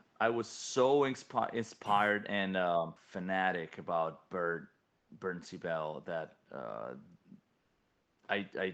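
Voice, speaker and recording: A man speaks very slowly at a very deep, low pitch, with lively intonation. Long, frequent pauses break up his speech over a quiet background. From Italy, Rome. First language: Italian. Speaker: metal band vocalist. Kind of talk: interview. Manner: halting, many fillers.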